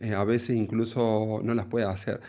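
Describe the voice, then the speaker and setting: A dark, mellow tone comes at a fairly slow pace on a very clean recording with a silent background. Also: man. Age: 40s. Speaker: cardiologist. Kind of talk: interview. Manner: halting, many fillers.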